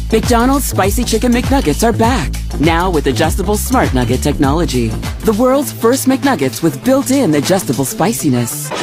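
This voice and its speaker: Over clear music in the background, a woman talks at a moderate pace with hardly any pauses, and the sound is dry with no echo. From Canada. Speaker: voice actor. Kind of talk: TV commercial read. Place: studio. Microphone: studio mic.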